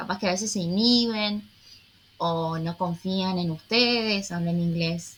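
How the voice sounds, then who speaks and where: A woman's medium-pitched, somewhat breathy voice at a fairly slow pace, with fairly even intonation. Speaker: English teacher. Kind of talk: online English class.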